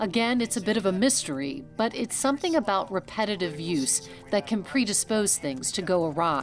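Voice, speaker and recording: A woman speaks at a moderate pace over background music, her medium-pitched voice swinging very widely in pitch with hardly any pauses. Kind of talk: documentary narration.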